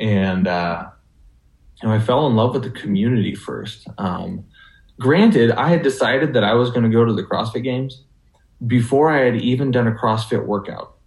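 A somewhat breathy man's voice at a medium pitch. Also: ordinary pitch variation, moderate pace. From western Washington, US (Burlington, Skagit Valley). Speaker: CrossFit athlete, former college football player. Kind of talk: interview. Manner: halting, many fillers.

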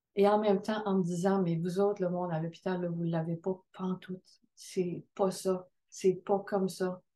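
Speaking at a very slow pace, a woman has a medium pitch, fairly even intonation and a dark, mellow tone. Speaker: midwife. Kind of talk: testimony.

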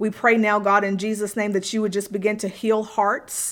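Monotone, flat intonation from a woman at medium pitch and a moderate pace. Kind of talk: fervent prayer spoken over listeners. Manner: earnest, fervent, pleading; repetitive, rhythmic, with pauses and fillers.

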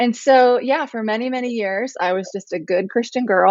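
A fairly quick pace with ordinary pitch variation. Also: woman. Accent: American. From US Midwest, small-town Ohio. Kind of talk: casual interview.

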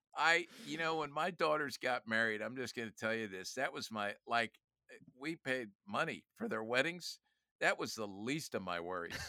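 A man with a bright, sharp tone and medium pitch talks at a moderate pace in an animated tone with lively intonation, the sound dry and close with no echo on a very clean recording with a silent background. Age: 60s. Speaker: youth ministry leader and author. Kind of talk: casual interview conversation. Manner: animated, jokes.

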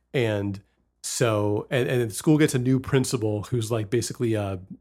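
The background is silent on this very clean recording. At a fairly slow pace, a plain, everyday voice shows ordinary pitch variation. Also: man. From West Virginia. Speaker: podcast host. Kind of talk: casual chat.

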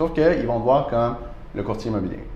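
The speech comes at a moderate pace with ordinary pitch variation. There is audible room echo and noticeable background noise. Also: man. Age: 30s. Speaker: real estate broker. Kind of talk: casual interview. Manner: hesitant with many fillers.

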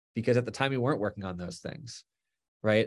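A man with an American accent and an ordinary speaking voice, medium pitch and ordinary pitch variation, on a very clean recording with a silent background. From Florida. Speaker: animator and creative director. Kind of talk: interview. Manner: casual, with fillers.

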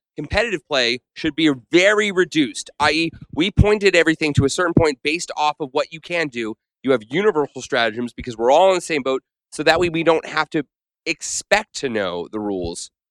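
The sound is dry and close with no echo as a man with an unremarkable speaking voice talks fairly quickly, his fairly high pitch carrying lively intonation. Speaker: Warhammer player. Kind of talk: roundtable discussion.

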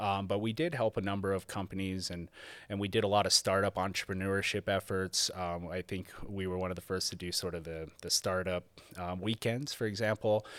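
A man with an American accent and a plain, everyday voice, at a fairly quick pace, in a very clean recording with a silent background. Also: fairly low pitch for a man, fairly even intonation, dry, close sound with no echo. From rural Nevada. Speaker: mining company government affairs manager. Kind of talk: interview.

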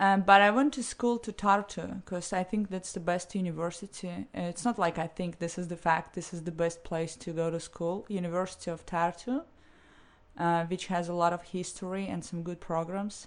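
A woman with a Russian accent speaks against a quiet background. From St. Petersburg, Russia. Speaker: interview guest. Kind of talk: casual interview chat.

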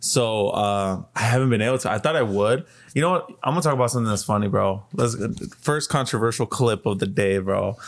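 A man with a plain, everyday voice speaks at a medium pitch and a fairly quick pace, with ordinary pitch variation and very even loudness. The recording is very clean, with a silent background. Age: 20s. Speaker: podcast co-host, movie and TV fan. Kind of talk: casual chat.

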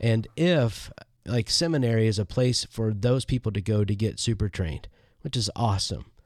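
A man talks at a moderate pace in an ordinary speaking voice. His pitch is medium with ordinary variation, and his loudness stays very even. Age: 50s. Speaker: podcast co-host, church leader. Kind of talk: casual conversation about church. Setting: remote recording from his office.

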